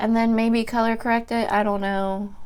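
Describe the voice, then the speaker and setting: Her voice shaky and her tone nervous, a woman speaks at a fairly high pitch and a moderate pace. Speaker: beauty YouTuber. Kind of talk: casual vlog, emotional venting while doing makeup. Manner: shaky, nervous.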